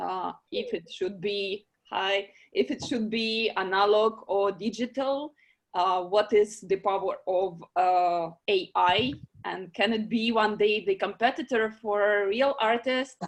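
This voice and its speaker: Speaking with a non-native accent, a woman goes at a very slow pace in a medium pitch with ordinary pitch variation. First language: not English. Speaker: online meeting moderator for art prize. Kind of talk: video call discussion moderation. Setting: video call. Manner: halting, many fillers.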